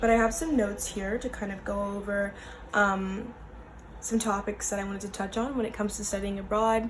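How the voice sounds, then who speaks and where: Audible room echo surrounds a woman with an American accent who talks at a fairly quick pace and medium pitch. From US. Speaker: vlogger. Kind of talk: casual vlog talk. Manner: casual with many fillers.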